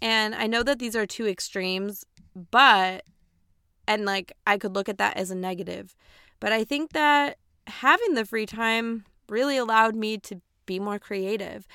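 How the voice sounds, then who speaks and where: In an American accent, a woman with fairly high pitch and a bright, sharp tone talks at a moderate pace with ordinary pitch variation, leaving long, frequent pauses. The recording is very clean, with a silent background and a dry, close sound with no echo. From US Midwest, Aurora, Illinois. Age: 20s. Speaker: podcast host. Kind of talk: casual monologue. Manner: chatty.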